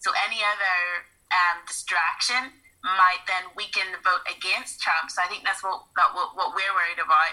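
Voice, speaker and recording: In a Northern Irish accent, a woman talks at a moderate pace. Her tone is bright and sharp, and her pitch sits in the medium range. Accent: Northern Irish (Belfast). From Northern Ireland, Belfast. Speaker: artist. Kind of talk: casual chat.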